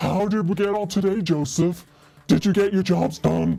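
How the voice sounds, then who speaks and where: Using a put-on character voice, a man speaks with a high pitch at a moderate pace. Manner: patronizing, condescending.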